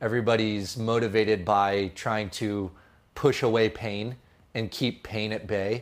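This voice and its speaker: In a Californian accent, a man speaks very slowly in a fairly low voice with fairly even intonation, on a very clean recording with a silent background. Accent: Californian American. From California, San Jose. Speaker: filmmaker. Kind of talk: podcast interview.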